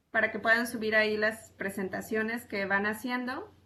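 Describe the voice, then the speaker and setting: With fairly even intonation and a moderate pace, the speaker has an unremarkable speaking voice. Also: woman. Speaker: university teacher. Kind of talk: online class.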